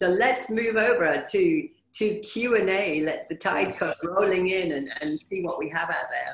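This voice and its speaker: An unremarkable speaking voice moves at a fairly slow pace with lively intonation and hardly any pauses. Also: woman, medium pitch for a woman. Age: 50s. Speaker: motivational speaker and wellbeing consultant. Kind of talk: webinar presentation. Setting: video call.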